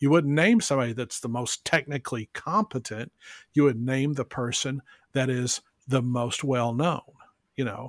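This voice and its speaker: Here is a man with an unremarkable speaking voice, medium in pitch, with ordinary pitch variation at a moderate pace. The recording is very clean, with a silent background and a dry, close sound with no echo. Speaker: benefit auctioneer, business development consultant. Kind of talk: podcast interview answer, business talk.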